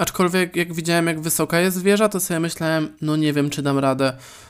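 A man speaks fairly quickly at a high pitch with ordinary pitch variation. The recording is very clean with a silent background. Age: 20s. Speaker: podcaster. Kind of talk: solo podcast monologue.

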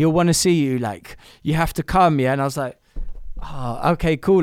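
In a London accent, a man with a fairly high pitch talks at a very fast pace. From London, Camden. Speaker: songwriter and producer. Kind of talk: interview. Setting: remote call from his studio.

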